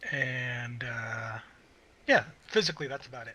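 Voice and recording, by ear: Doing a put-on character voice, a man sounds gruff at medium pitch and a moderate pace.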